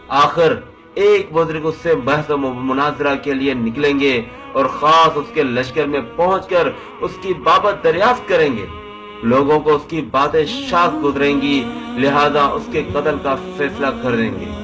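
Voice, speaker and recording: A man with a fairly high voice speaks with lively intonation over music in the background. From Pakistan. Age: young. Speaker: YouTuber. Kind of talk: religious narration.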